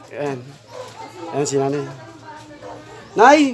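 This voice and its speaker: A man speaks over noticeable background noise. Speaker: vlogger. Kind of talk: casual vlog talk and interview questions.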